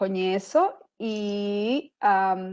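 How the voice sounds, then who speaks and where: This woman speaks with a Spanish accent. Her pitch is fairly high and her intonation fairly even. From Costa Rica. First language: Spanish (speaking Portuguese). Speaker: sales executive. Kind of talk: webinar presentation. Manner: halting.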